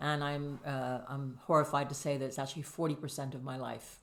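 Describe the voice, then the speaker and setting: Vocal fry runs through this fairly quick delivery with a North American accent. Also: woman. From Canada. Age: 60s. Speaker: podcast guest sharing weight loss story. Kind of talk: casual interview.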